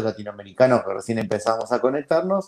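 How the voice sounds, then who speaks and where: A man's normal speaking voice, medium in pitch, with lively intonation. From Argentina. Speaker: founder of a library for blind people. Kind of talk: interview.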